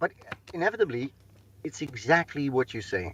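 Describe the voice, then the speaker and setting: A man speaks in a Dutch accent. The sound is dry and close with no echo, over a quiet background. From Netherlands. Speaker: sales and operations consultant. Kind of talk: panel discussion. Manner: halting.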